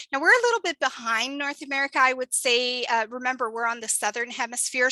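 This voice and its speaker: A woman's bright, sharp tone with ordinary pitch variation, in a Canadian accent, the sound dry and close with no echo. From Canada. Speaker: program coordinator hosting an info session. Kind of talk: online info session presentation. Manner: casual with frequent fillers.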